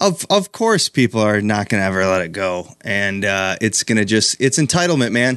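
A man with an American accent, a plain, everyday voice, fairly low pitch, ordinary pitch variation and a moderate pace, against a quiet background. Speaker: comedian. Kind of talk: casual chat.

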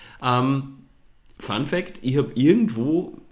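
The room echo is audible as a man speaks. His pitch varies in an ordinary way. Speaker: podcast co-host, fashion blogger. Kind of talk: casual chat.

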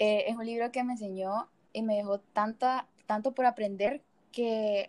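A woman's fairly high voice, a normal speaking voice, with fairly even intonation and a dry, close sound free of echo. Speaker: student volleyball player. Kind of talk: casual interview.

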